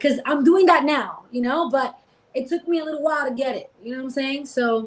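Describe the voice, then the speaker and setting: A woman's high voice moves with ordinary pitch variation amid noticeable background noise. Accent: American. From New York, the Bronx. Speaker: singer. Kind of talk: casual chat. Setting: live stream.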